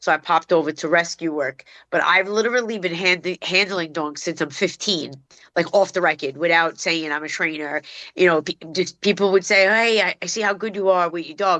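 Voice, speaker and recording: A woman with a Brooklyn accent talks at a fairly quick pace in a fairly low pitch with ordinary variation. Her tone is bright and sharp, and the sound is dry and close with no echo against a quiet background. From New York City, Brooklyn (Bensonhurst). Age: 50s. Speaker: dog trainer. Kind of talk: casual chat.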